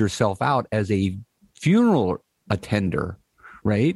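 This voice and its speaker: A man is speaking. The background is quiet. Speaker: podcast co-host. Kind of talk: casual chat. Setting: video call.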